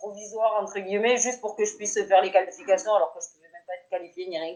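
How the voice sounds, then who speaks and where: The woman talks very fast at a medium pitch. Her intonation stays fairly even. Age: 30s. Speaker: petanque player. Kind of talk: interview.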